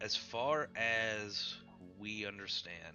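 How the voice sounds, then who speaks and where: Over clear music in the background, a man uses a quiet, raspy, put-on character voice. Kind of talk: in-character role-play. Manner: hushed, quiet.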